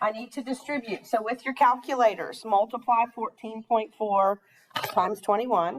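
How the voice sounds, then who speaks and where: In an ordinary speaking voice, a woman talks at a moderate pace with a fairly high pitch, fairly even intonation and big swings in loudness. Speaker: math teacher. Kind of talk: classroom lecture. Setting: classroom with students.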